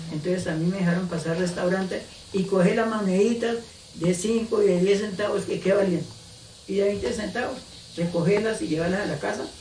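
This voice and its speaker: A man speaks at a high pitch and a fairly quick pace with fairly even intonation. Noticeable background noise and audible room echo fill the recording. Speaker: eyewitness of a historical event. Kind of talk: oral history interview.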